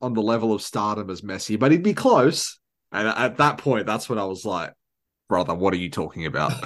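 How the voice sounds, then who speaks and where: A man speaks at a fairly quick pace with an Australian accent. His pitch sits fairly low, and the background is quiet. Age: 20s. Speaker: podcast host. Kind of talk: casual chat.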